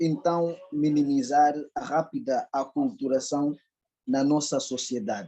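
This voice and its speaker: A man's fairly high-pitched voice in a dark, mellow tone, with lively intonation at a very slow pace. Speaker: audience member asking a question. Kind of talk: question at a public lecture. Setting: lecture hall with microphone. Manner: formal.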